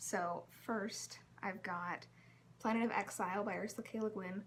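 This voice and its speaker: A woman speaks at a medium pitch with ordinary pitch variation. Her voice has vocal fry. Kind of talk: casual reading vlog talk to camera. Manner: whispered.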